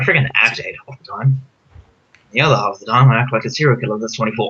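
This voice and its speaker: A man's mumbling at a very fast pace, with big swings in loudness and fairly even intonation. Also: medium pitch for a man. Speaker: youtuber. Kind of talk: casual chat. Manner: fast, mumbling.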